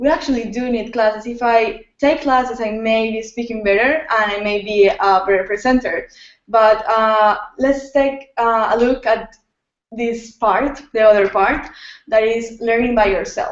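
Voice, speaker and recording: At a moderate pace, a woman with a non-native accent speaks in a fairly high voice with fairly even intonation. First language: Spanish. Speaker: youth entrepreneurship leader. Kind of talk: interview on video hangout. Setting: video call. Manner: halting.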